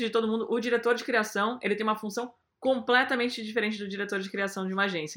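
On a very clean recording with a silent background, a woman speaks in a bright, sharp tone. Her pitch is fairly high, with ordinary variation. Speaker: advertising creative lead. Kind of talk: interview.

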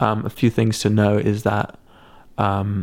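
On a very clean recording with a silent background, a man with a southern English accent speaks in a fairly low pitch with vocal fry. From England, Sussex countryside. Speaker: musician and photographer. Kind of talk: casual chat. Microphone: camera shotgun mic on tripod close to face.

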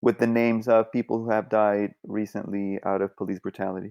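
A man speaks in a flat, monotone way at a fairly low pitch with a dark, mellow tone. The sound is dry and close with no echo, over a quiet background. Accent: Spanish. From Colombia. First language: Spanish. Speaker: artist. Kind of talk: casual interview chat.

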